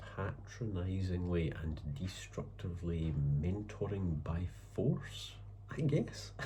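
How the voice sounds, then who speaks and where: Over noticeable background noise, a man with a very deep, low pitch talks at a very slow pace, his pitch swinging very widely. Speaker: writer. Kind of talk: casual talk to camera. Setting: home, background noise. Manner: hesitant, thoughtful.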